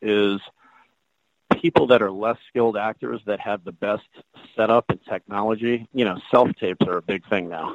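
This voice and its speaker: In an American accent, a man uses a normal speaking voice at a fairly low pitch, talking at a moderate pace with fairly even intonation. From Washington, D.C. area. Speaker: actor and look-alike performer. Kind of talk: interview conversation.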